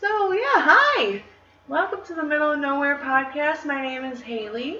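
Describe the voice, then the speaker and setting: A woman with an American accent uses a raised, projected voice at a high pitch with very wide pitch swings and a fairly slow pace, with audible room echo and noticeable background noise. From Michigan, US Midwest. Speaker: podcast co-host. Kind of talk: casual chat.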